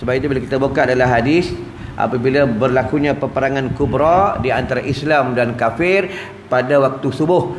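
A man at a moderate pace with ordinary pitch variation, over light background noise. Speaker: religious teacher. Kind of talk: sermon. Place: church. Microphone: lapel.

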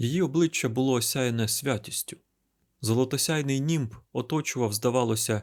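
In an unforced reading voice, the speaker reads with ordinary pitch variation against a quiet background.

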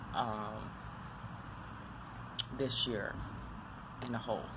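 Loud noise fills the background. A woman talks over it. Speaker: mother and makeup channel host. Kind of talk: casual talk to camera. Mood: reflective, calm. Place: street. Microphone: phone near.

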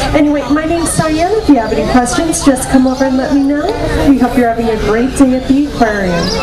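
Loud background noise surrounds a woman speaking at a very fast pace. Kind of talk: public safety announcement. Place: waterside.

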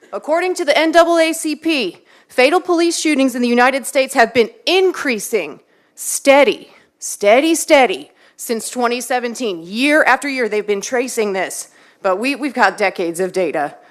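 A woman speaks at a moderate pace in a slight Texan accent. Her high voice swings very widely in pitch. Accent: Texas accent, slight. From Texas, Waller County. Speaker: public commenter. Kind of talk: public comment speech. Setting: city council meeting.

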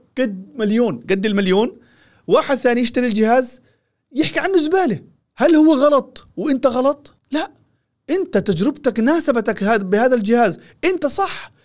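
A man's extremely high-pitched, animated voice at a fairly slow pace over a quiet background. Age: 40s. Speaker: tech reviewer. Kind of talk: product review. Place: studio. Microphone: studio mic.

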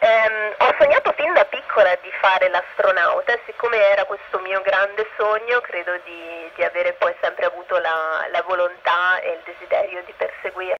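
The speech moves at a moderate pace with hardly any pauses over light background noise. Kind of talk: interview answer.

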